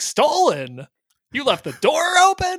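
A whiny, put-on character voice at a fairly slow pace. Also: man, extremely high pitch for a man. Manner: upset, accusing.

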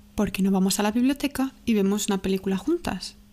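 Her voice has a dark, mellow tone and a medium pitch. The woman speaks at a fairly quick pace with ordinary pitch variation. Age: 20s. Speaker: podcast host. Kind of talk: casual monologue.

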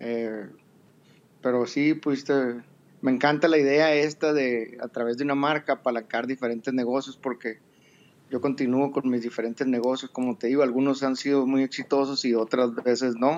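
In a flat monotone, a man talks at medium pitch and a moderate pace. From Mexico, Sonora. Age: 50s. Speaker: entrepreneur, audience participant. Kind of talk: casual chat. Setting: live audio app room.

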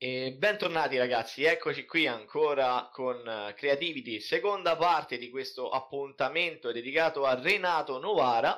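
Fairly high in pitch with a bright, sharp tone, a man talks with hardly any pauses. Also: ordinary pitch variation, moderate pace. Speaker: podcast host. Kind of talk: casual interview. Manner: halting.

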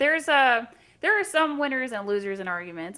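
A woman with an American accent has a bright, sharp tone. She talks at a fairly quick pace with lively intonation. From US South, Central Florida. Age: 20s. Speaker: YouTuber, guest. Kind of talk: casual chat.

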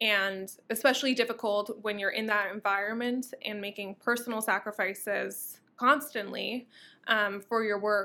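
A woman with an American accent, fairly high in pitch with a bright, sharp tone, at a moderate pace with fairly even intonation, in a very clean recording with a silent background. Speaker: eco activist and social media influencer. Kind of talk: interview conversation.

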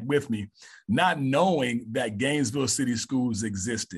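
With a Southern US accent, a man talks at a medium pitch and ordinary pitch variation. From Mississippi, US South. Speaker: high school assistant principal and coach. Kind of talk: casual interview.

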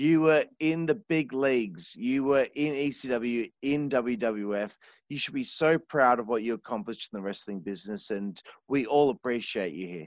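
With an Australian accent, a man speaks at a moderate pace and medium pitch with lively intonation, in a dry, close recording with no echo and a quiet background. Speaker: podcast host. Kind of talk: casual interview chat. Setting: remote call. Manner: animated.

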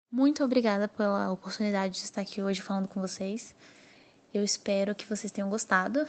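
A woman with an unremarkable speaking voice, medium pitch, fairly even intonation and a fairly quick pace. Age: 20s. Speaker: novelist. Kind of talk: interview monologue.

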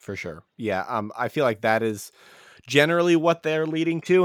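In a very clean recording with a silent background, a man speaks at a moderate pace in an ordinary speaking voice with ordinary pitch variation. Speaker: podcast host. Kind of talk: casual chat.

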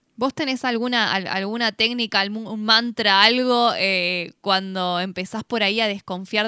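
In a very clean recording with a silent background, a woman with an ordinary speaking voice talks at a moderate pace and medium pitch. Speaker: radio co-host. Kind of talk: casual chat.

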